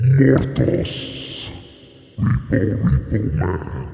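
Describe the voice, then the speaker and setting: Putting on a character voice, a man swings his very deep, low pitch very widely, with clear echo around him. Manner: growly, monstrous.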